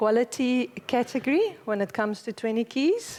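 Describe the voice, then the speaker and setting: A woman's lively intonation in a South African accent. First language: Afrikaans. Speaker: conference speaker, company managing director. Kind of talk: conference talk.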